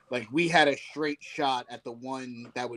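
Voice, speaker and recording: A man with an American accent speaks in a plain, everyday voice at medium pitch. His pace is fairly slow and his intonation fairly even. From Virginia. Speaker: wrestling podcast co-host. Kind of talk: casual chat.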